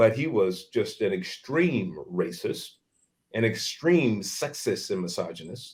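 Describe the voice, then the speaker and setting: This man has a medium-pitched, somewhat breathy voice and an American accent. He talks at a fairly slow pace with very wide pitch swings. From San Francisco, California. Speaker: author and public speaker. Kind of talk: interview. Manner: halting.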